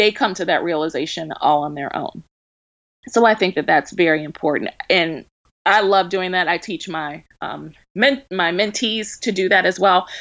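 In an American accent, a woman talks at a medium pitch with ordinary pitch variation in a normal speaking voice. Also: moderate pace. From Baltimore, Maryland. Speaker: wedding planner. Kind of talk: interview.

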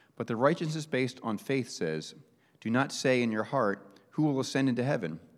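At a fairly quick pace, a man talks in a normal speaking voice with a medium pitch. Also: very clean recording, silent background. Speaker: scripture reader. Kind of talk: reading aloud. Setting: church.

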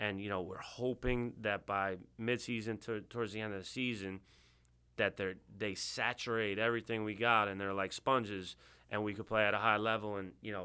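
A man with a New York accent, a fairly low pitch, a bright, sharp tone, fairly even intonation and a fairly quick pace, in a very clean recording with a silent background. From Long Island, New York (Bethpage). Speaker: high school lacrosse coach. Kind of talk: interview. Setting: studio.

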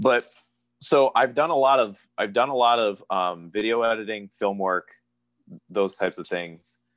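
This man has an unremarkable speaking voice at medium pitch, talking at a moderate pace with ordinary pitch variation. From Pennsylvania, US. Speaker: professional wrestler. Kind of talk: interview.

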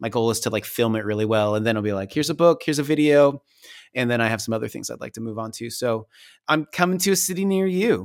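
A man's medium-pitched, very fast speech with lively intonation on a very clean recording with a silent background. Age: 40s. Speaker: painter and storyteller, author. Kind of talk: casual chat.

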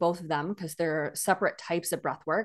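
A woman's medium-pitched voice is heard against a quiet background. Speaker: breathwork facilitator and health coach. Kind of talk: interview.

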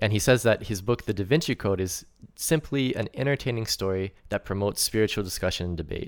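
Heard on a very clean recording with a silent background, the speaker has a Floridian accent, a moderate pace, and ordinary pitch variation. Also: man, fairly low pitch for a man. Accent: American English, Florida. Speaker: English teacher. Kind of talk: casual chat. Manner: halting, many fillers.

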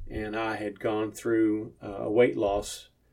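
Speaking at a fairly slow pace, a man uses a plain, everyday voice with a medium pitch and fairly even intonation. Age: 60s. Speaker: trucking business owner and former truck driver. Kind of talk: interview.

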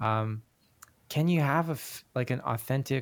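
Against a silent background on a very clean recording, a man talks at a fairly slow pace. He has an unremarkable speaking voice with ordinary pitch variation. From Canada, Korean Canadian. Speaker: senior pastor and adjunct professor. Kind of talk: casual interview conversation.

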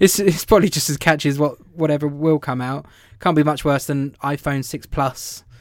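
A man with a southern English accent, fairly high in pitch, at a moderate pace with fairly even intonation. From England, London area. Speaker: podcast co-host. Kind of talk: casual chat. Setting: remote audio call.

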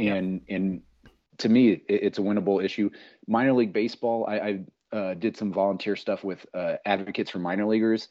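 A man with an American accent and an unremarkable speaking voice talks at a fairly quick pace, his fairly low pitch held in fairly even intonation. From Minnesota. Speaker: political candidate and amateur baseball pitcher. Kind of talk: casual chat.

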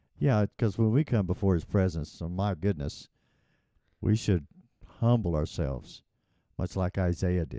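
Very clean recording with a silent background, at a moderate pace. The tone is dark and mellow, the intonation lively, and long pauses come often. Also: man, very deep, low pitch for a man. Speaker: podcast co-host. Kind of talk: casual religious discussion.

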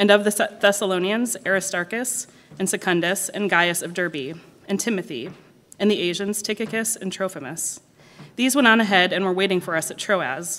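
A woman talks at a moderate pace with a medium pitch, ordinary pitch variation and an unremarkable speaking voice. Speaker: scripture reader. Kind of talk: reading aloud. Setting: church.

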